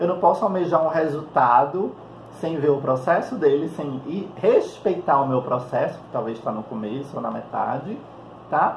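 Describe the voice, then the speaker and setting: With audible room echo around him, a man talks at a moderate pace with lively intonation and big swings in loudness. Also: fairly high pitch for a man. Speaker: psychologist and holistic therapist. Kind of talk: vlog monologue. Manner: calm.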